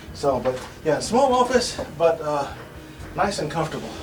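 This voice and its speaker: Amid noticeable background noise and audible room echo, a man with an American accent talks at a moderate pace in a fairly high voice. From US South (Arkansas). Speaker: English teacher. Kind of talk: casual tour of office. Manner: hesitant with many fillers.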